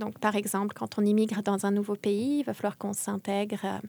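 A woman's dark, mellow voice sits at a medium pitch with monotone, flat intonation, moving at a moderate pace in a dry, close sound with no echo. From France. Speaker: linguistics doctoral student and lecturer. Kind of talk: interview. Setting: studio.

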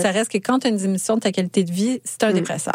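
A woman talks at a fairly quick pace with medium pitch and ordinary pitch variation. The sound is dry and close with no echo, though background noise is noticeable. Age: 40s. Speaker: podcaster and clothing shop owner. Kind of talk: radio interview.

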